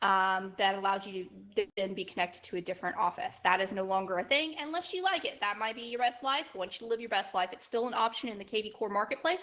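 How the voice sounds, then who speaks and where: Lively intonation runs through very fast speech with hardly any pauses, in a Southern US accent over noticeable background noise. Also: woman, medium pitch for a woman. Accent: Southern twang. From Alabama, Gulf Coast. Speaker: software trainer. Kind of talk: online training session. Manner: halting, with repeated words.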